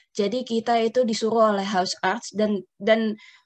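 A woman's voice with fairly even intonation. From Netherlands, born to Indonesian parents. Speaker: family caregiver. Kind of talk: personal testimony. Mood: calm, reflective. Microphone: earbuds.

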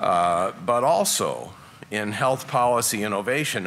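A man with an American accent, a bright, sharp tone, ordinary pitch variation and light background noise. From Colorado. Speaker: moderator and reporter. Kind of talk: moderated panel discussion. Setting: stage with audience. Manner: animated. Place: hall. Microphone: podium.

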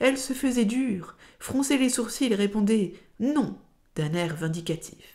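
Speaking at a fairly slow pace, a woman has a dark, mellow tone, lively intonation and a somewhat breathy quality. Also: fairly high pitch for a woman. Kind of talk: literary audiobook reading. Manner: slow, measured, expressive literary narration that shifts into dialogue voices; formal and lyrical, carefully phrased.

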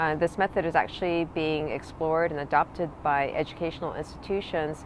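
A woman with a fairly low pitch speaks at a moderate pace with fairly even intonation. The sound is dry with no echo, and there is light background noise. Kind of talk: prepared promotional talk. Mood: calm and friendly. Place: waterside. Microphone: phone near.

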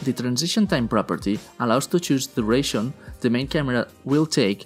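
A man at a fairly quick pace with lively intonation, with music in the background. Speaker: tutorial narrator. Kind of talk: tutorial.

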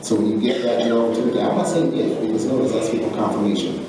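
A man speaks at a medium pitch in a room with strong echo and noticeable background noise. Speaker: author, speaker and coach. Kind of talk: commencement speech to graduates. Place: hall. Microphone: podium.

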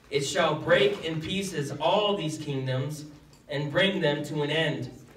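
Over light background noise and audible room echo, a man speaks at a fairly slow pace with ordinary pitch variation. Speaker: pastor. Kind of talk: scripture reading and prayer. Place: church.

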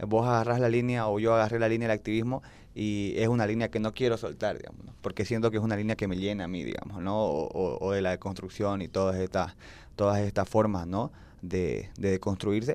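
This man talks at a fairly quick pace and a fairly low pitch. His intonation stays fairly even. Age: 20s. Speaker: youth activist; podcast guest. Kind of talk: personal testimony in panel chat. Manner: hesitant, many fillers. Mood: earnest, reflective. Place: studio. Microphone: handheld.

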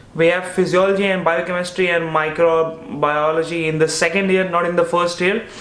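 A man with a high voice for a man and an Indian accent, with audible room echo. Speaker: medical student and YouTuber. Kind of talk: casual chat. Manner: animated. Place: home room.

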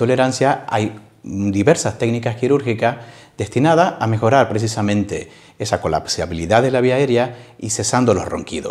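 A man at a moderate pace with ordinary pitch variation over a quiet background. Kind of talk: interview answer. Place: office. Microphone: lapel.

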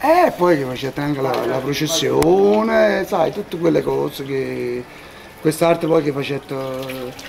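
There is noticeable background noise here. Beneath it, this man talks very slowly. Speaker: local resident. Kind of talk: street interview.

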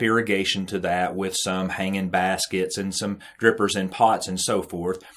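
A man speaks in an unremarkable speaking voice. His pitch is fairly low and his intonation fairly even. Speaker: irrigation trainer. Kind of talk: tutorial.

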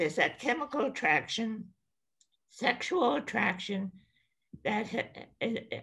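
A woman's voice with very wide pitch swings, at a moderate pace against a quiet background. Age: 80s+. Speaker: attorney and author on senior life; attorney. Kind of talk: podcast interview. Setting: podcast recording. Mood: candid, reflective. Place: home room. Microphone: webcam.

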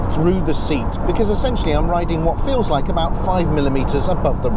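A man talks over loud background noise. The sound is dry, with no echo. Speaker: car reviewer. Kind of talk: car review commentary. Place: car. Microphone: lapel.

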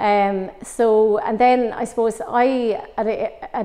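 Over a quiet background, a woman with a Waterford accent speaks at a fairly high pitch, in a dark, mellow tone with fairly even intonation. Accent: Irish, Waterford. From Ireland, West Waterford; Ireland. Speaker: former Gaelic footballer and coach; coach. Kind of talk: interview. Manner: hesitant, many fillers. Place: empty room.

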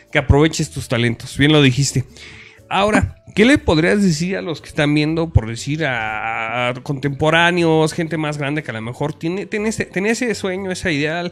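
Over background music, a man with a fairly high pitch speaks at a moderate pace using lively intonation. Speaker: online show host. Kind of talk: casual interview. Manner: rough, blunt delivery.

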